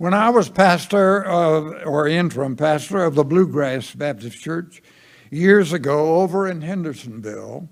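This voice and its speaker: In a Southern US accent, a man talks at a fairly slow pace with fairly high pitch and lively intonation. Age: 90s. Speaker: pastor. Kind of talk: sermon. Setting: church.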